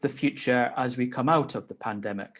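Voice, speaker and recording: A man is speaking. He has a Scottish accent. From Scotland. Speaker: legislator chairing a meeting. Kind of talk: meeting chair remarks. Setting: video call.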